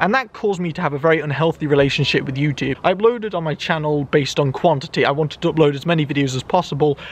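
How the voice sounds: A man speaks loudly and fast in a fairly high pitch. His pitch variation is ordinary.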